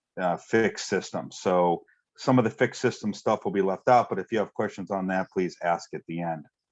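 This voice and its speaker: In a dry, close sound with no echo and a quiet background, a man with a fairly low voice talks at a fairly quick pace with ordinary pitch variation. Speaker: technical presenter on ion exchange resin. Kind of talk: webinar presentation. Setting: online webinar. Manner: fast.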